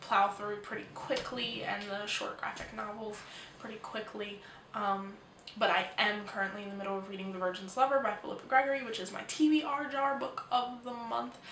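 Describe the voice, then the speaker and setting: A soft-spoken woman with a fairly high pitch talks at a moderate pace with ordinary pitch variation, amid noticeable background noise and audible room echo. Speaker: book vlogger. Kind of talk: casual video monologue. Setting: at home. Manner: hesitant, many ums.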